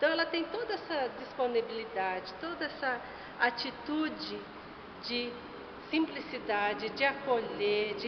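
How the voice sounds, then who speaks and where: A high-pitched woman at a fairly slow pace, with noticeable background noise and audible room echo. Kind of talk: religious talk.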